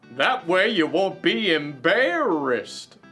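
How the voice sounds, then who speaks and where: Over faint background music, a man in a put-on character voice speaks at a fairly slow pace with a high pitch. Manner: soft, gentle.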